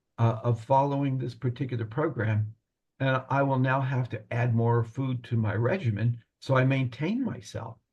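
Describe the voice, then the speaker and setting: A man with a medium pitch speaks at a moderate pace, somewhat breathy and with fairly even intonation. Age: 70s. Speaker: retired pharmacist, program client. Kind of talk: testimonial interview. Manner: halting, repeats words.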